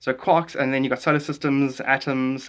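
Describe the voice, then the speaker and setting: Against a quiet background, a man talks at medium pitch. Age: 40s. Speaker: comedian and TikTok creator. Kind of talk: casual live stream chat. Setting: live stream. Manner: fast; animated.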